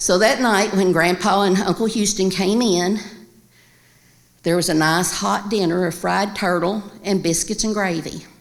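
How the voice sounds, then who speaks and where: This voice carries a Kentucky accent. The pace is moderate, and the pitch varies in an ordinary way. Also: woman. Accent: Kentucky Southern American. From Winchester, Kentucky. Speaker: storyteller. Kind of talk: live storytelling performance.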